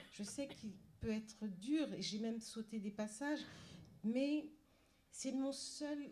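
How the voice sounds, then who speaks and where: The voice is somewhat breathy with a dark, mellow tone, moving at a very slow pace with ordinary pitch variation. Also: woman. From Paris suburbs, France. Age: 60s. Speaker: novelist. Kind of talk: panel talk. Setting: library event with audience. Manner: halting, many repetitions and hesitations.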